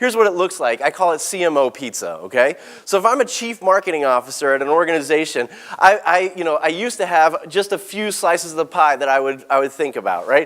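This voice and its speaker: Animated and high-pitched, a man rushes along at a very fast pace with lively intonation. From Texas (born in South Africa). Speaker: keynote speaker and author. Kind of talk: keynote presentation.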